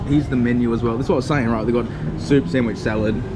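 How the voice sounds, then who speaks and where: Loud background noise surrounds a man as he talks. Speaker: travel vlogger. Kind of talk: casual vlog chat. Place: bar. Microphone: phone near.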